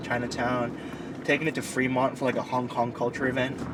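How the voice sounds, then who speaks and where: Over noticeable background noise, a man with an American accent talks fairly quickly at a medium pitch. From Southern California, US. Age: 20s. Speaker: car owner and culture enthusiast. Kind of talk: documentary interview. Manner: casual, frequent 'like' fillers.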